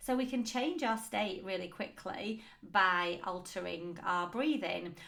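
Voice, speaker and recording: With a bright, sharp tone and lively intonation, a woman speaks fairly slowly at a medium pitch amid audible room echo. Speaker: business coach and podcast host. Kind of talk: solo podcast talk.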